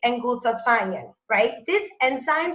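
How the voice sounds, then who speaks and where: In a Spanish accent, a bright, sharp voice speaks fairly slowly with lively intonation. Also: woman. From Mexico City. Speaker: network marketing presenter. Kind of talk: sales webinar presentation. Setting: online webinar.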